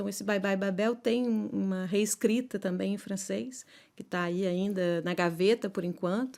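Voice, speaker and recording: In a very clean recording with a silent background, a woman with a medium pitch and a dark, mellow tone speaks at a fairly slow pace with ordinary pitch variation. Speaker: poet and philosopher. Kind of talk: interview. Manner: halting, many fillers.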